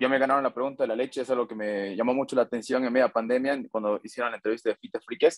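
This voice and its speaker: Speaking at a very fast pace with fairly even intonation, a man with a Bolivian accent is heard in a dry sound with no echo against a quiet background. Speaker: fan asking questions. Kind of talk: interview question. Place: home room. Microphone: video call.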